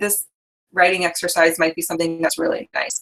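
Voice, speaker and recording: A woman speaks at a fairly quick pace. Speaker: dating coach. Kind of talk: live workshop. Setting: live online call. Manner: fast; hesitant fillers.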